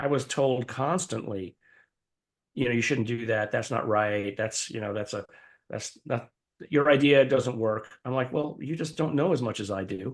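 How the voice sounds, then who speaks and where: A man with a medium pitch talks at a moderate pace with ordinary pitch variation. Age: 60s. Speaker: professor and scientist. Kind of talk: interview. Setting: podcast. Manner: halting.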